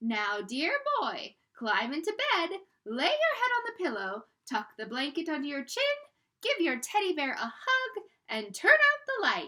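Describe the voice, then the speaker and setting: A woman uses a squeaky, put-on character voice at an extremely high pitch. She moves at a moderate pace through very wide pitch swings. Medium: read story. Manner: affectionate, coaxing.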